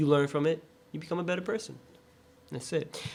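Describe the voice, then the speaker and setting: In an American accent, a man with a fairly high voice speaks at a moderate pace. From San Francisco Bay Area, US. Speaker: podcast co-host. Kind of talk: casual chat. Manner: animated.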